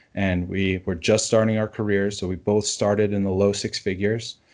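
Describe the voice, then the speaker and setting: A man with an ordinary speaking voice and a fairly low pitch talks at a moderate pace with fairly even intonation against a quiet background. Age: 30s. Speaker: personal finance blogger. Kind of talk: interview.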